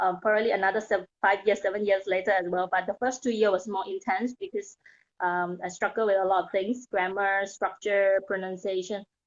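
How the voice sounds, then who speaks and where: Speaking at a fairly quick pace in a Thai accent, a woman keeps a medium pitch and monotone, flat intonation. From Thailand. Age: 30s. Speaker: mindset coach. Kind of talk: interview.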